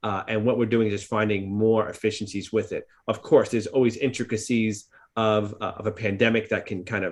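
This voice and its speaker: A man with a New York accent speaks at a fairly low pitch and a fairly quick pace. His intonation is monotone and flat against a quiet background. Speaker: psychologist and practice owner. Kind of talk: podcast discussion.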